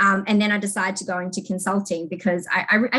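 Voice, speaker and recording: A woman's medium-pitched voice in a New Zealand accent, fairly quick, with ordinary pitch variation. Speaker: technology consulting manager. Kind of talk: interview.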